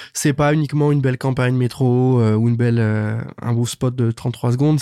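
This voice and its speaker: With a dark, mellow tone, a man of medium pitch speaks with fairly even intonation. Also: very clean recording, silent background. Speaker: podcast host. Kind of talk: interview.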